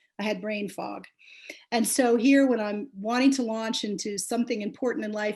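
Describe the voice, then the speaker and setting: A woman speaks at a fairly quick pace in a somewhat breathy voice. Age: 60s. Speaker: memoir author. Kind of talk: book launch talk. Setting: video call.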